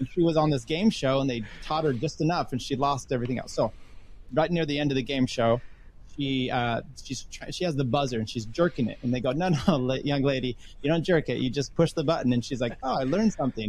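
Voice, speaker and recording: A man speaks very fast with an American accent and a fairly high pitch. His voice is somewhat breathy, with ordinary pitch variation. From US Northwest. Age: 50s. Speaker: podcaster, engineer. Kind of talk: casual chat.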